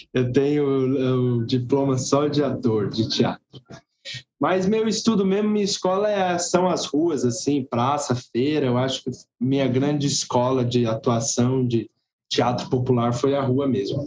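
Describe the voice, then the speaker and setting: This man has an ordinary speaking voice at medium pitch. He talks fairly slowly, his intonation lively. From Brazil, Guarulhos (São Paulo). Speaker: circus actor and theatre teacher. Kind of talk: interview chat.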